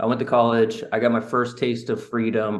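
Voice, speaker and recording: This man has a normal speaking voice at medium pitch. He speaks at a moderate pace. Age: 20s. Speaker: real estate investor. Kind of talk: interview.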